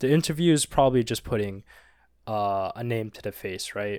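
A man at a fairly low pitch with ordinary pitch variation, in a very clean recording with a silent background. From Canada, Filipino parents. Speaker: podcast co-host. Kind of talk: casual chat.

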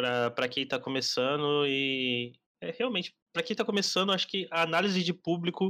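A man's bright, sharp voice at a moderate pace with ordinary pitch variation, on a very clean recording with a silent background. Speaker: podcast host and marketing agency founder. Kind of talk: casual chat.

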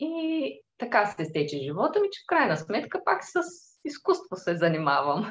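In a calm tone, a woman talks at a moderate pace and medium pitch, somewhat breathy. Her pitch swings very widely. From Bulgaria, Tervel near Dobrich. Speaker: furniture workshop owner and icon maker. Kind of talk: interview.

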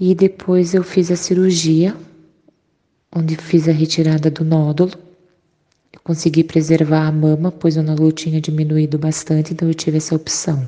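A woman with a very deep, low pitch and a dark, mellow tone speaks at a moderate pace in a monotone, flat delivery. Her loudness swings widely, and she takes long, frequent pauses. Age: 30s. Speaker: breast cancer survivor. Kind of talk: testimony.

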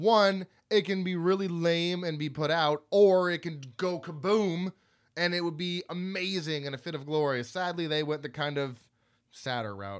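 A loud voice on a very clean recording with a silent background. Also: man, high pitch for a man, ordinary pitch variation, moderate pace. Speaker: podcast co-host. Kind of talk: casual chat. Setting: home studio.

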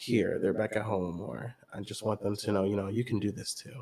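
A man with an American accent speaks at a moderate pace, his pitch fairly low with ordinary variation. His tone is dark and mellow, and somewhat breathy. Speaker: podcast co-host, college student. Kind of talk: casual chat.

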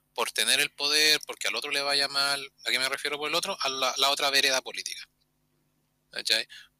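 Over a dry, close sound with no echo, a man speaks at a fairly quick pace in a bright, sharp tone, with a fairly high pitch and monotone, flat intonation. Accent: Chilean. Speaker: podcast co-host. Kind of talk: casual chat.

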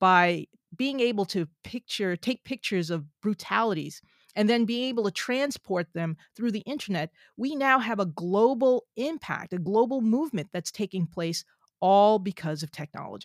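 A plain, everyday voice with an American accent speaks at a moderate pace with lively intonation. The recording is very clean with a silent background and a dry, close sound with no echo. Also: woman, medium pitch for a woman. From New Jersey. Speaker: scientist and author. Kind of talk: interview.

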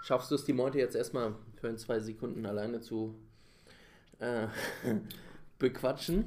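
At a moderate pace, a man talks in a medium pitch with fairly even intonation and long, frequent pauses. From Bavaria. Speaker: podcast co-host. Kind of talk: casual chat.

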